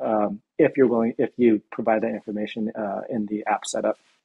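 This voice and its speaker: Against a quiet background, the speech moves along at a moderate pace. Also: man. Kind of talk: interview answer. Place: home room. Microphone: video call.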